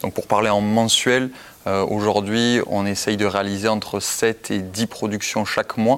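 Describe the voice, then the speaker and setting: In a monotone, flat delivery, a man talks at a moderate pace with a fairly low pitch. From southern France (Castelnaudary, Aude). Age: 20s. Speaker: company co-founder. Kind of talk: interview. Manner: halting, repeats words.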